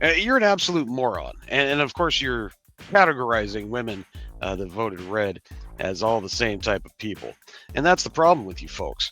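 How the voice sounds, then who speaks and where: A man does a cartoonish character voice at medium pitch and moderate pace. Faint music plays in the background. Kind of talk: comedic rant reaction. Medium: puppet. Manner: sarcastic, mocking.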